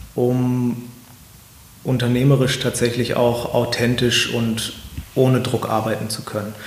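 A man speaks at a fairly slow pace and a medium pitch. Noticeable background noise and audible room echo accompany him. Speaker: company executive. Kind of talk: interview. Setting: office in a castle.

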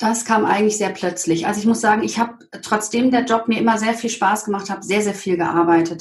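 At a moderate pace, a woman speaks with a medium pitch, somewhat breathy and with monotone, flat intonation. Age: 40s. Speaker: green business networker, interview guest. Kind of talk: personal testimony in interview. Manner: hesitant, with fillers.

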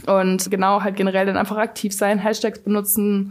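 A woman's fairly quick delivery in monotone, flat intonation. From Cologne, Germany. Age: 20s. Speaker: fashion micro-influencer. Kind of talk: casual interview.

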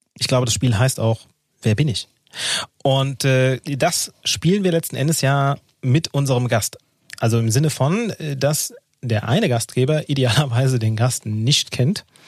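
The speech moves at a fairly slow pace with long, frequent pauses and ordinary pitch variation, the sound dry and close with no echo. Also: man, medium pitch for a man. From Hesse, Offenbach district. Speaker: podcast co-host. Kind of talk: casual chat.

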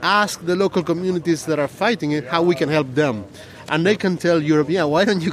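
Over noticeable background noise, a man with a Spanish accent talks at a fairly quick pace with ordinary pitch variation. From Argentina. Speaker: scientist and environmental activist. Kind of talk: interview. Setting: outdoors, sitting on a low wall in a park at a protest.

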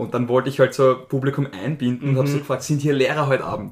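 There is noticeable background noise. Through it, a man talks very fast, his intonation fairly even. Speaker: stand-up comedian. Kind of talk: casual chat.

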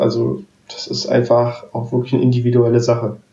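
Medium-pitched male voice, dark and mellow in tone, somewhat breathy, at a moderate pace. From Berlin. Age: 20s. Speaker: wheelchair tennis player and student. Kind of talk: casual interview. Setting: remote call.

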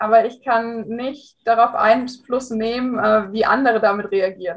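This woman keeps a moderate pace in an ordinary speaking voice. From Hesse, near Frankfurt. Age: 20s. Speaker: amateur rider, coaching client. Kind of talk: interview testimony.

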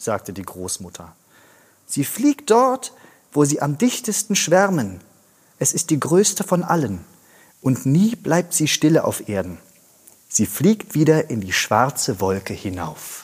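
A man talks at a very slow pace with long, frequent pauses. His fairly high pitch swings very widely. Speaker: actor reading fairy tale aloud. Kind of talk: scripted storytelling, fairy-tale reading.

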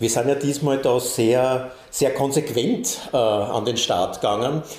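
A man's voice at a medium pitch comes through audible room echo and noticeable background noise. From Austria. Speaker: bandleader and musician. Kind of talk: casual interview chat. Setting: recording studio.

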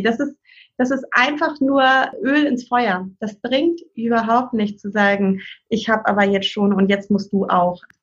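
Here is a woman with an unremarkable speaking voice, fairly high in pitch. She moves at a moderate pace with ordinary pitch variation. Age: 40s. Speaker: parent and family counselor. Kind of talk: casual interview chat.

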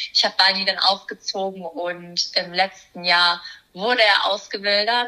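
In a normal speaking voice, a woman speaks at a fairly slow pace with medium pitch and fairly even intonation. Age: 20s. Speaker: primatologist and animal welfare activist. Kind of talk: casual interview.

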